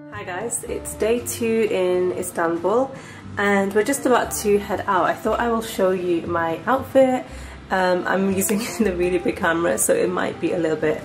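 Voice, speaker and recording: Clear music plays in the background as a woman speaks at a moderate pace with ordinary pitch variation. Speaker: fashion vlogger. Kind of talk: casual vlog chat. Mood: cheerful, relaxed. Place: home room.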